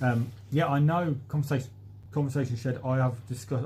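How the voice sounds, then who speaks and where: Fairly quick speech from a man, dark and mellow in tone, somewhat breathy, with fairly even intonation. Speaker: allotment gardening youtuber. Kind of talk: live stream chat reading comments. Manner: casual with frequent fillers.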